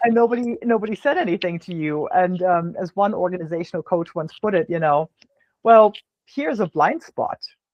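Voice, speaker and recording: The speaker has a German accent and moves at a fairly quick pace. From Germany. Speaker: business podcast host. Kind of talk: casual interview conversation. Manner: halting, many fillers and repeats.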